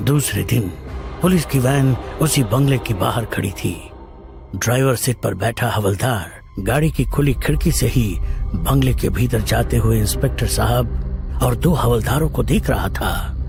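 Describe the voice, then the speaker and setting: Over clear background music, a man uses a put-on character voice with a very deep, low pitch. He keeps a moderate pace. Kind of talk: horror narration. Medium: audio drama.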